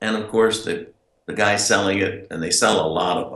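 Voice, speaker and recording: In an American accent, a man with fairly low pitch talks at a fairly slow pace. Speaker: inventor and direct marketer. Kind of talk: casual interview answer.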